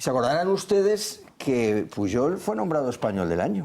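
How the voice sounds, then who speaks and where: A man at a medium pitch with very wide pitch swings and a fairly slow pace. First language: Catalan (speaking Spanish). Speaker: political commentator. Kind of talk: TV panel debate. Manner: halting, with repetitions.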